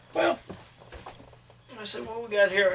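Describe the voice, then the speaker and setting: Against noticeable background noise, a man talks at a high pitch and a fairly quick pace. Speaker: podcast host. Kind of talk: casual chat.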